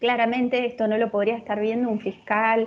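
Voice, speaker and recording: This woman has an unremarkable speaking voice pitched fairly high. She keeps a moderate pace. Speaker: lecturer. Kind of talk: lecture.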